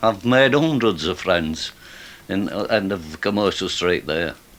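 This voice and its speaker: Noticeable background noise runs under the recording. A man speaks in a Yorkshire accent. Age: 70s. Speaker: street musician. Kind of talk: casual chat. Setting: radio studio. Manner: halting.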